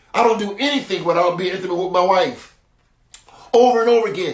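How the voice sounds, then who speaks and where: Talking very fast with ordinary pitch variation, a man is heard with audible room echo around him. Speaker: apostle / preacher. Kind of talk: sermon. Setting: livestream on Facebook and YouTube.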